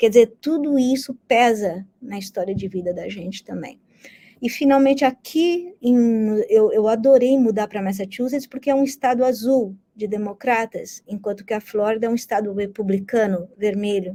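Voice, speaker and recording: A woman with a Brazilian accent talks at a moderate pace, fairly high in pitch with ordinary pitch variation. Her somewhat breathy voice has a dark, mellow tone and big swings in loudness. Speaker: history professor. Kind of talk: interview. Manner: conversational.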